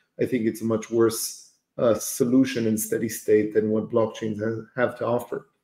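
A man's dark, mellow voice in monotone, flat intonation at a moderate pace, with audible room echo over a quiet background. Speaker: livestream host. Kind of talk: live interview. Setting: livestream video call. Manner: hesitant, many fillers. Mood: relaxed, thoughtful. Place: home room.

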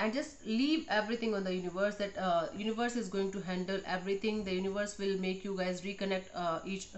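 A woman at a very fast pace with ordinary pitch variation. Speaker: tarot reader. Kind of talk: tarot reading monologue. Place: home room. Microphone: phone near.

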